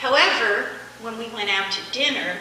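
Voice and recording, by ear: A soft-spoken woman with a bright, sharp tone, ordinary pitch variation and audible room echo. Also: fairly high pitch for a woman, moderate pace.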